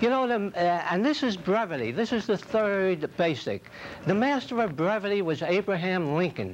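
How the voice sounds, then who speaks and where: Lively in intonation, a man speaks at a high pitch with an American accent. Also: moderate pace. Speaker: public speaking club member. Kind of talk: humorous speech.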